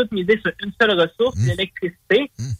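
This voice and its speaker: This man speaks at a very fast pace. His pitch is high. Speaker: radio columnist. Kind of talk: radio commentary.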